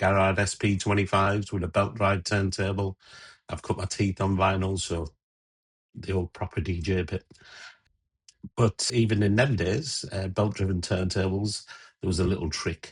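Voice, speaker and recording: Over a quiet background, a man with an English accent sounds somewhat breathy, his intonation fairly even. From England. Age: 60s. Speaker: DJ and radio presenter; DJ, radio presenter. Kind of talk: casual tutorial intro; casual vlog chat. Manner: casual, with fillers. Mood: warm, nostalgic. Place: home room.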